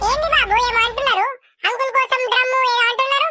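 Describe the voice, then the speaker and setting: A woman uses a squeaky, cartoonish character voice at an extremely high pitch. She speaks at a moderate pace. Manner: chatty, complaining.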